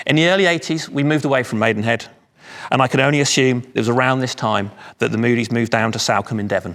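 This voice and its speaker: With a London accent, a man talks at a very fast pace, medium in pitch and very even in loudness. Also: ordinary pitch variation. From London area, England. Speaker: speaker at charity anniversary event. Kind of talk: speech.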